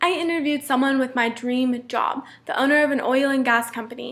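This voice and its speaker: Mumbling at a very fast pace, a woman talks in a high pitch with ordinary pitch variation. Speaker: student. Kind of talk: class presentation.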